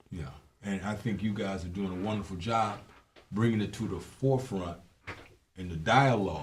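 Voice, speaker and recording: In an American accent, a man with a fairly low pitch and ordinary pitch variation speaks with long, frequent pauses amid audible room echo. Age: 60s. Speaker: former police officer. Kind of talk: casual chat.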